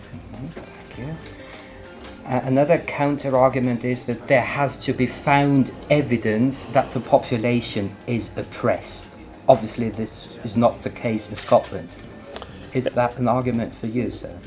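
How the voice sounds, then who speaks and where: A man speaks at a moderate pace with fairly even intonation and big swings in loudness. Music plays in the background. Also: medium pitch for a man. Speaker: party press spokesman, interviewer. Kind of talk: interview questions.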